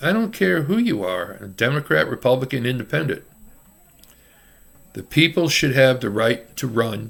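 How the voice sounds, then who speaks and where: Speaking with an American accent, a man keeps a moderate pace at a medium pitch on a very clean recording with a silent background. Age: 60s. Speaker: self-declared presidential candidate. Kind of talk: campaign speech to camera. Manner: casual, off-the-cuff.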